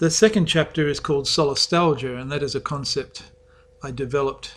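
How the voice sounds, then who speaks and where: This man keeps a moderate pace. The intonation stays fairly even. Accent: Australian. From Western Australia. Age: 60s. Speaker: author. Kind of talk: author's talk about his book.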